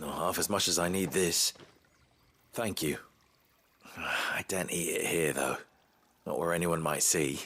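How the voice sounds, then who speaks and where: A man's put-on character voice, raspy and very deep, with a weary tone, a moderate pace and long, frequent pauses. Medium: video game. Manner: quiet, weary.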